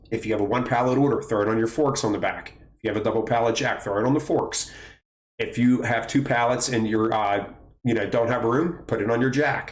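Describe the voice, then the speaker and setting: With audible room echo around him, a man talks at a fairly quick pace in a medium pitch. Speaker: warehouse trainer and video creator. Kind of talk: tutorial. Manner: fast; animated.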